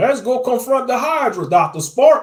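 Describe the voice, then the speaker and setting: Putting on a character voice, a man speaks at an extremely high pitch. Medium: read story. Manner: hearty, bold.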